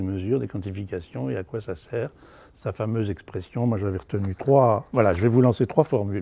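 A man speaks at a fairly low pitch and a moderate pace, his tone dark and mellow. His pitch varies in an ordinary way, and the sound is dry with no echo. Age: 70s. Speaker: university academic. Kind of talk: interview testimony.

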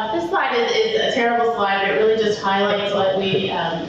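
An American accent amid noticeable background noise and strong room echo. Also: woman. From Philadelphia. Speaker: conference speaker, tech business development lead. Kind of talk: conference talk. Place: hall.

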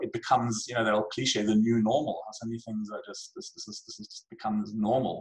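A man talks at a fairly quick pace with lively intonation and a somewhat breathy voice. The background is quiet. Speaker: guest. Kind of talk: interview answer. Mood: reflective, occasional laughs. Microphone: video call.

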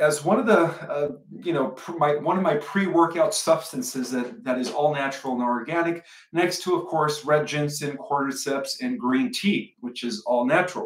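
A man's voice with audible room echo against a quiet background. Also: moderate pace. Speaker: channel host. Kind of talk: casual vlog chat. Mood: relaxed, amused. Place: home room. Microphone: webcam.

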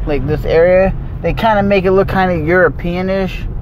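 Over clear background noise, a man talks at a fairly slow pace with a fairly high pitch and ordinary pitch variation.

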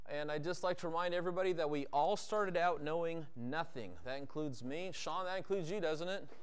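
A man talks at a very fast pace with a high pitch. His pitch varies in an ordinary way. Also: hardly any pauses. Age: 50s. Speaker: car detailing instructor. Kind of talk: hands-on tutorial. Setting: garage workshop. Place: garage.

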